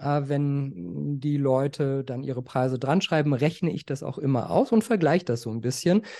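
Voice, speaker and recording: A man's dark, mellow voice, fairly high in pitch, with lively intonation at a moderate pace and hardly any pauses. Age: 40s. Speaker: art collector and finance journalist. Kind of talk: casual interview.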